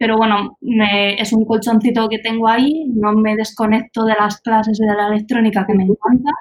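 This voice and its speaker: Fairly high-pitched and somewhat breathy, a woman talks at a moderate pace. Her intonation is monotone and flat. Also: hardly any pauses. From Spain, Albacete. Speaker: teacher and startup founder. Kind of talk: interview.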